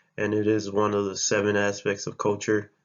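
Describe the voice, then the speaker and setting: With a Spanish accent, a man speaks at a fairly quick pace in a fairly low voice, his intonation monotone and flat. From US, Baltimore, Maryland. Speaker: college student. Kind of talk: class presentation. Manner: halting.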